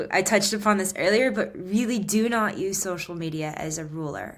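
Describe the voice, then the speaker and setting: A woman at a moderate pace with ordinary pitch variation, in audible room echo. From United States. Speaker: guitarist and musician. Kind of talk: interview conversation. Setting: podcast interview. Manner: animated.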